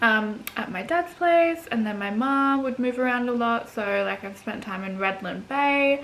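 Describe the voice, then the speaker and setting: Speaking at a fairly slow pace with hardly any pauses, a woman with an Australian accent uses a high voice with lively intonation. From Australia, Gold Coast, Queensland. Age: 20s. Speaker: vlogger. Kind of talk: casual chat. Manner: hesitant, many fillers.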